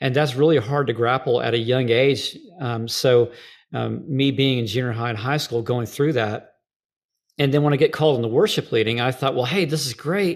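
In a very clean recording with a silent background, a man speaks in a plain, everyday voice at medium pitch with ordinary pitch variation. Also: moderate pace. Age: 40s. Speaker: worship leader and trainer. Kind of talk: interview conversation.

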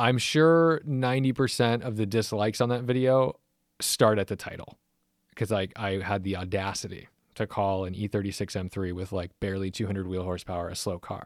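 An unremarkable speaking voice, fairly quick and with ordinary pitch variation, over a silent background on a very clean recording. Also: man, fairly low pitch for a man. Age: 30s. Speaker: car podcast host and YouTuber. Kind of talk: casual chat.

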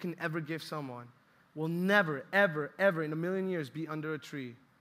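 A man's animated, fairly high voice with a bright, sharp tone. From Colombia. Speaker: youth ministry intern preacher. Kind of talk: sermon. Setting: church with audience.

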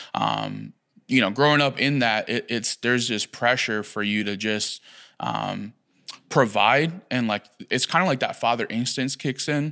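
Recorded very cleanly over a silent background, a man speaks fairly slowly at a medium pitch, his tone bright and sharp with vocal fry. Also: ordinary pitch variation. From Puerto Rico, raised in Philadelphia. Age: 20s. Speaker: pastor. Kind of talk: testimony.

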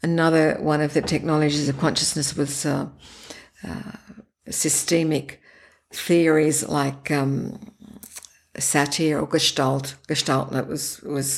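Fairly even intonation and an Australian accent mark this fairly slow delivery. The speaker pauses often and at length. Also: woman. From Australia, Sydney. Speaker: breathwork practitioner, former linguistics academic. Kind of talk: interview.

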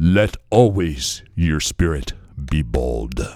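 In a put-on character voice, a man speaks at a very slow pace. His pitch is very deep and low.

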